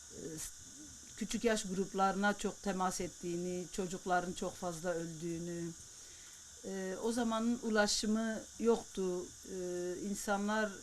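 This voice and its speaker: With an unremarkable speaking voice at medium pitch, a woman talks at a fairly slow pace with fairly even intonation. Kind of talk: interview answer.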